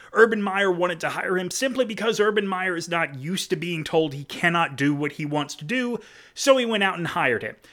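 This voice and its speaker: In a very clean recording with a silent background, a man speaks at a fairly quick pace. His high-pitched voice is bright and sharp, with lively intonation. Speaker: podcast host. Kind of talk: casual chat.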